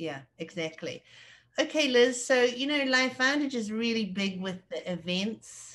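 A woman with a New Zealand accent speaks at a high pitch with lively intonation. Her pace is fairly slow, against a quiet background. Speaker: interviewer. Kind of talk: interview. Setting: video call.

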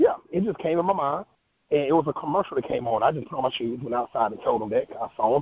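Very fast and fairly high-pitched, a man with an American accent speaks with ordinary pitch variation. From North Carolina. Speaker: actor and talk show host. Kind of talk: interview.

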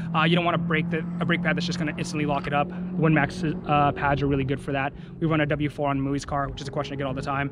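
A man talking very fast with hardly any pauses, dry sound with no echo, loud background noise throughout. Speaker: car enthusiast vlogger. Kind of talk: casual vlog chat. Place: open country. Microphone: phone near.

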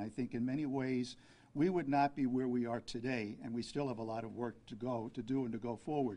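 With an American accent, a man speaks at a moderate pace and medium pitch in a dark, mellow tone, his intonation fairly even. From Brooklyn, New York City; New York City. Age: 70s. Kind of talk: press conference. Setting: press conference with media. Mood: calm, earnest. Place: hall. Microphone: podium.

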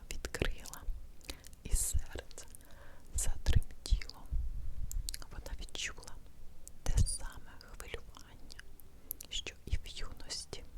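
A woman's whisper, very slow and gentle in tone, with big swings in loudness and long, frequent pauses. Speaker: ASMR creator. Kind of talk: bedtime story reading. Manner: whispered, gentle, slow.

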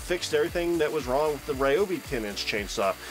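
Music plays in the background as a man talks at a fairly quick pace. His pitch swings very widely. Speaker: tool reviewer. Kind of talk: product review voice-over.

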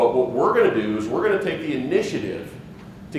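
Room echo you can hear and clear background noise around a male speaker. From Wyoming. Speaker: organic farmer; conference presenter. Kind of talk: conference presentation. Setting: stage with audience. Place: hall.

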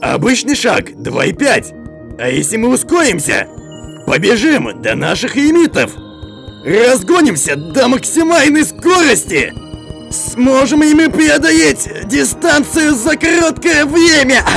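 Over clear music in the background, a man performs a cartoonish character voice at a fairly slow pace. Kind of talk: cartoon dub acting. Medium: fan dub. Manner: curious, excited, thinking aloud.

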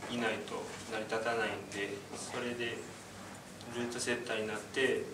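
Noticeable background noise sits under a man speaking in a Kyoto accent at a moderate pace. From Kyoto, Japan. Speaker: outdoor vocational school student. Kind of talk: self-introduction speech to classmates. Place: classroom. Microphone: camera far.

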